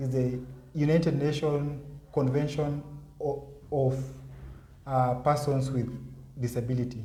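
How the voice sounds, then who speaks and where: A man's somewhat breathy voice at a fairly slow pace, flat and monotone, with long, frequent pauses. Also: fairly high pitch for a man. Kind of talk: interview answer.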